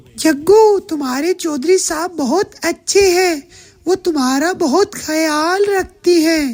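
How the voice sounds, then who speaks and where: A woman speaks very slowly in a cartoonish character voice. Her pitch is extremely high. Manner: soft, reassuring.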